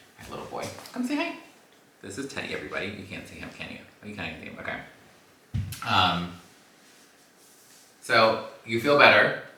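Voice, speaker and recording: A man talks at a very fast pace, with long, frequent pauses and big swings in loudness. Audible room echo and noticeable background noise fill the recording. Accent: American. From Los Angeles. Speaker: podcast host. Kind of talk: casual chat. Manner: animated.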